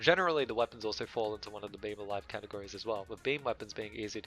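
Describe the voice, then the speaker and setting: Music plays in the background as a man with a fairly low pitch speaks at a very fast pace. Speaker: game reviewer. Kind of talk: video game review narration. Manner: dry, joking.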